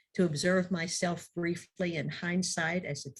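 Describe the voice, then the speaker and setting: A woman's fairly low voice comes across somewhat breathy. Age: 70s. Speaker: minister. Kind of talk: sermon.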